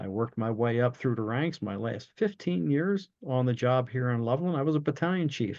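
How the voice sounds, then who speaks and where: Speaking with an American accent, a man keeps a moderate pace and medium pitch with ordinary pitch variation. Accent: New Jersey accent, stronger when cranked up. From South Jersey, Cumberland County. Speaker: retired fire chief and leadership coach. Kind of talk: interview conversation.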